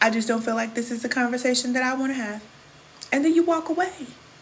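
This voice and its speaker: A woman with an American accent, high-pitched and animated at a fairly quick pace, over noticeable background noise. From Kansas City, Missouri. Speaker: spiritual coach. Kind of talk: livestream chat with viewers. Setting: live stream.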